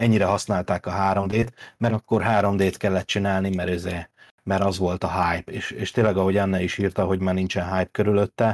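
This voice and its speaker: On a very clean recording with a silent background and a dry, close sound with no echo, a man speaks fairly quickly in a flat monotone at a fairly low pitch. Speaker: podcast co-host. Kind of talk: casual chat.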